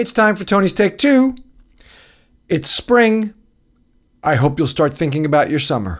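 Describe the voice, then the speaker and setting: Energetic and in an American accent, the voice swings very widely in pitch at a moderate pace, with long, frequent pauses on a very clean recording over a silent background. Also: man, high pitch for a man. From New York. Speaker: radio host. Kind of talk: scripted intro and casual interview. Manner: energetic, strong openings.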